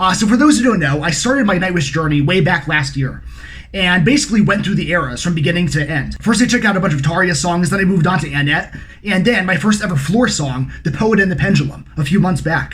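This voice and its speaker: Over noticeable background noise and audible room echo, a man speaks very fast at a high pitch with lively intonation. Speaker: music reaction youtuber. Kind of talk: casual vlog intro.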